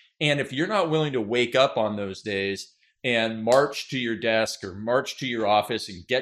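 A man's normal speaking voice at a medium pitch, with ordinary pitch variation and a moderate pace, on a very clean recording with a silent background. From Canada. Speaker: business author and marketing coach. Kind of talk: interview.

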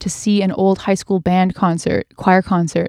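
In a dry, close sound with no echo, a woman with a Canadian accent uses a normal speaking voice, talking at a moderate pace with a medium pitch. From Canada, British Columbia (North Vancouver). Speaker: singer and vocal coach. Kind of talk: casual interview chat.

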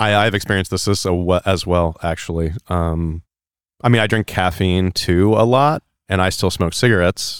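A man's very deep, low voice at a moderate pace, with ordinary pitch variation, very even loudness and a very clean recording with a silent background. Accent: American. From US West (California). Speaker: podcast host. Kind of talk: casual chat.

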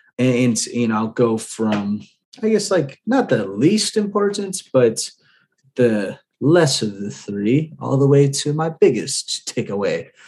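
At a very slow pace, a man with a medium pitch speaks with very wide pitch swings. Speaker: podcast host and real estate investor. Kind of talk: solo podcast monologue. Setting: home apartment at night. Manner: subdued, keeping quiet.

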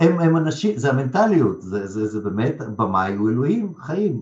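A man's voice with very wide pitch swings. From Lithuania, Russian-speaking family, moved to Israel at 12. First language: Russian (speaking Hebrew). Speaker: theatre director and acting school head. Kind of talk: interview.

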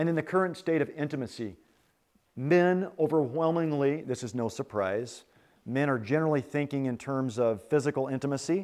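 A man talks at a fairly quick pace in a plain, everyday voice. His pitch sits fairly high, with ordinary pitch variation. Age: 40s. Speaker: retreat speaker on marriage. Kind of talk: sermon-style talk.

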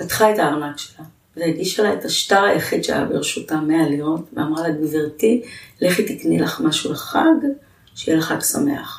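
A woman with a very deep, low pitch talks at a moderate pace, her pitch varying in an ordinary way, over noticeable background noise. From Israel, Jerusalem. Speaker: nonprofit founder and CEO. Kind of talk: interview, life story.

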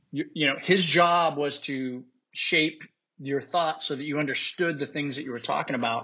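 A man with an American accent and a normal speaking voice talks at a fairly high pitch, with fairly even intonation. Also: moderate pace. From Utah. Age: 50s. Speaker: war veteran. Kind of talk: casual chat.

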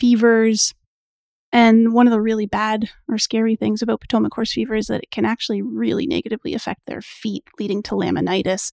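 At a fairly quick pace, a woman with a Canadian accent speaks in a very clean recording with a silent background and a dry, close sound with no echo. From Canada. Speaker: equine veterinarian. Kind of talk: podcast interview.

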